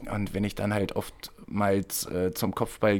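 A man's fairly low, flat, monotone voice at a fairly slow pace, on a very clean recording with a silent background. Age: 30s. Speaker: handball and football player. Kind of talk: casual chat.

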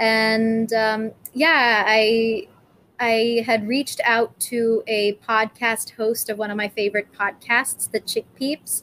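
Very slowly, a woman with an American accent speaks at a fairly high pitch in a monotone, flat intonation. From California. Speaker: vegan animal rights activist. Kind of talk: interview.

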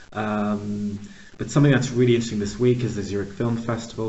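A fairly low-pitched man with ordinary pitch variation and a plain, everyday voice. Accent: American. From US, Pittsburgh, Pennsylvania. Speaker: podcast host, organizational consultant. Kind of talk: interview conversation.

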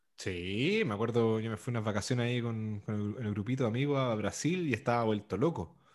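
A man's ordinary speaking voice at medium pitch, fairly quick with hardly any pauses, ordinary pitch variation, and a very clean recording with a silent background. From Santiago, Chile. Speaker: podcast co-host, DJ. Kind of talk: casual chat.

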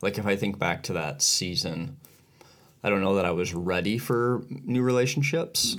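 With an ordinary speaking voice, a man speaks at a fairly quick pace, fairly low in pitch, his intonation lively. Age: 40s. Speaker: podcast co-host. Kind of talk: casual chat.

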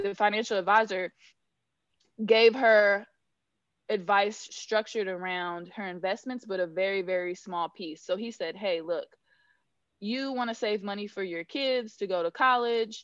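In a West Coast US accent, a woman speaks at a fairly slow pace, medium in pitch, with fairly even intonation. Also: quiet background. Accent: General American (West Coast). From Northern California. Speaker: financial planner. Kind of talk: podcast interview. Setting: remote call.

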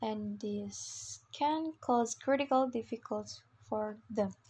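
Speaking at a very slow pace, a woman with an Indonesian accent has a fairly high pitch. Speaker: student. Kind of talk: class assignment podcast.

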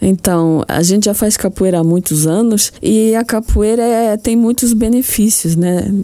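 Dark, mellow tone at a fairly slow pace, with ordinary pitch variation and hardly any pauses. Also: woman, medium pitch for a woman. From Luxembourg. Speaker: association president. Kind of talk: radio interview.

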